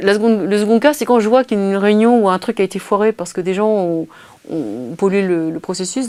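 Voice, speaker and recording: This is a woman's voice. Her pitch is medium. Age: 50s. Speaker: interviewee on collaborative intelligence. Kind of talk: interview. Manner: fast.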